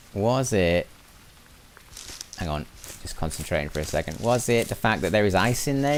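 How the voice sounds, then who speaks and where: A man talking at a very fast pace with lively intonation, plus audible room echo and noticeable background noise. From northern England, Lancashire. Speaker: gaming streamer. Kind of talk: live gameplay stream chat. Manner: relaxed, calm; repetitive, halting.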